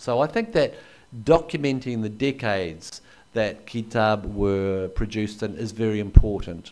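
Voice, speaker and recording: In a very clean recording with a silent background, a man with a New Zealand accent speaks in a fairly low voice with lively intonation. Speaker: anthropologist and historian. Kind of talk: lecture. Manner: hesitant with fillers.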